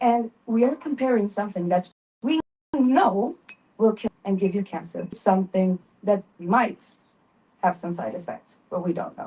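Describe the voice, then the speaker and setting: A dark, mellow tone, somewhat breathy, broken by long and frequent pauses. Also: woman, medium pitch for a woman, lively intonation, moderate pace. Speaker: panel speaker, harm reduction advocate. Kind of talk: panel talk. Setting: stage with microphone.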